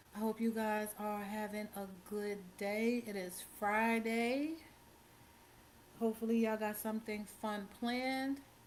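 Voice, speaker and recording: Fairly slow delivery with monotone, flat intonation. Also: woman, fairly high pitch for a woman. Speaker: true crime livestream host. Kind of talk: casual livestream chat. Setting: live stream.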